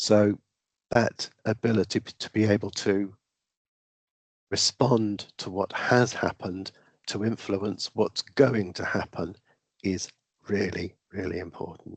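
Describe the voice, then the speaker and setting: Speaking with a British accent, a man with a fairly low voice talks at a fairly slow pace with long, frequent pauses. His intonation is fairly even, his loudness swings widely, and the sound is dry and close with no echo. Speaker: raffle and lottery trainer. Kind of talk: online training presentation. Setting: video call.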